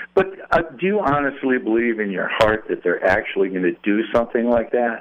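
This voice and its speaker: A man's medium-pitched voice, fairly quick with lively intonation, a normal speaking voice. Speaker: caller. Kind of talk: call-in opinion. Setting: phone call.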